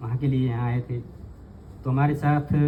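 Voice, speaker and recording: A man with a medium pitch has a dark, mellow tone. He sounds somewhat breathy, with monotone, flat intonation. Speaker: spiritual teacher/tantra scholar. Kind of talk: informal talk to audience. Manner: halting.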